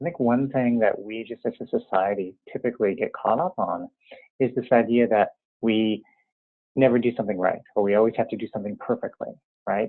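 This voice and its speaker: Medium-pitched male voice at a fairly quick pace, with ordinary pitch variation. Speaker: interior alignment teacher. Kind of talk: tutorial; guided meditation. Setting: teleconference. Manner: normally quick when focused.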